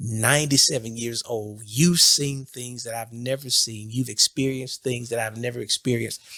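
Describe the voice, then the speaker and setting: A man with an unremarkable speaking voice talks at a medium pitch with fairly even intonation on a very clean recording with a silent background. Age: 50s. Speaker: podcast host and bishop. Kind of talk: interview conversation.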